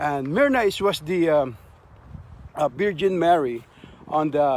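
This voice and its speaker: Over light background noise, a man speaks with ordinary pitch variation, the sound dry with no echo. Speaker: martial arts instructor. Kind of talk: casual vlog chat. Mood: fond reminiscing, smiling. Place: open country. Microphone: phone near.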